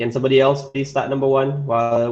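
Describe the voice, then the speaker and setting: In a Malaysian accent, the speaker talks at a fairly quick pace with monotone, flat intonation. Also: man. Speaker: English teacher. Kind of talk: online class lesson.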